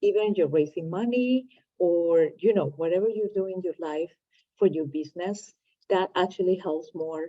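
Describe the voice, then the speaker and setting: A woman with a non-native accent speaks at a medium pitch and moderate pace, with ordinary pitch variation. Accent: foreign. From Latin America. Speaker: entrepreneur, channel host. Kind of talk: casual chat.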